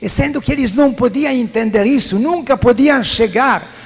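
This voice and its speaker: With a non-native accent, a man talks in a high pitch with lively intonation. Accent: foreign accent in Portuguese. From Italy. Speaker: priest. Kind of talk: sermon.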